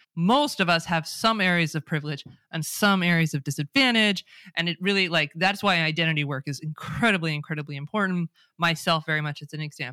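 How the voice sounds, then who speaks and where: On a very clean recording with a silent background, a woman talks at a very fast pace in a bright, sharp tone, fairly low in pitch with ordinary pitch variation. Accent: Californian. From California, US. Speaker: DEI expert. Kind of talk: casual interview conversation.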